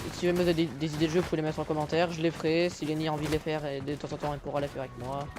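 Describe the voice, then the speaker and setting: With noticeable background noise, a man with a fairly high pitch talks very fast with hardly any pauses in a monotone, flat intonation. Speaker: gaming youtuber. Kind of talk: casual gameplay chat. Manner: hesitant, stammering.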